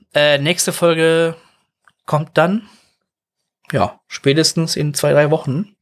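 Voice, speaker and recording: On a very clean recording with a silent background, a man with a fairly high voice speaks very slowly. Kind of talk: casual chat.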